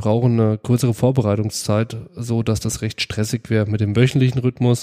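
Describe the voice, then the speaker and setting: The man's tone is dark and mellow. His pace is moderate. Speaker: podcast host. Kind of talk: casual chat.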